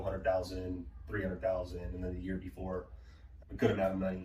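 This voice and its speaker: A man's voice carries audible room echo. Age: 20s. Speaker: solar sales manager. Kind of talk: interview. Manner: casual.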